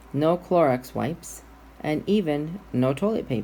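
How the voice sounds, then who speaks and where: Her voice very deep and low, a woman speaks in a dark, mellow tone with vocal fry and ordinary pitch variation. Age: 60s. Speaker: guest minister. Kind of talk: sermon.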